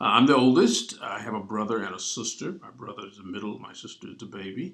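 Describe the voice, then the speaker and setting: The speech comes at a very fast pace with lively intonation. Loudness swings a lot. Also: man, medium pitch for a man. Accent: Arkansas. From US South, southeast Arkansas. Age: 60s. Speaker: pastor. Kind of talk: interview.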